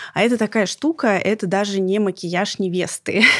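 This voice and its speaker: In a very clean recording with a silent background and a dry, close sound with no echo, a woman with a plain, everyday voice speaks at a medium pitch with ordinary pitch variation. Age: 30s. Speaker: podcast host, former TV presenter. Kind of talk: scripted narration; casual chat. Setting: studio.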